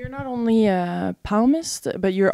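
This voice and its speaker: Heard on a very clean recording with a silent background, the speaker uses a French accent and ordinary pitch variation. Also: woman. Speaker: interviewer, video channel host. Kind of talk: interview.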